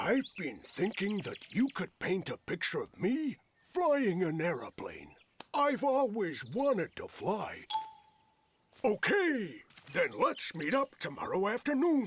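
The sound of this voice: A man's cartoonish character voice, high in pitch. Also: fairly slow pace.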